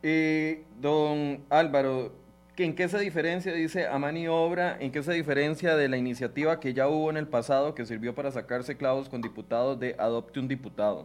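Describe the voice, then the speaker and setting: Moderate pace from a man with a plain, everyday voice, fairly high pitch and ordinary pitch variation. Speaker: TV news show host. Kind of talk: interview.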